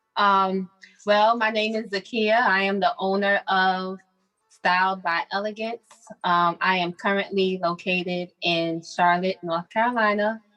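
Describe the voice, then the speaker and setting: Music plays in the background as a woman with an American accent speaks at a fairly slow pace with fairly even intonation. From Brooklyn, New York. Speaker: boutique owner. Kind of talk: business presentation on video call. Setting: video call from her boutique.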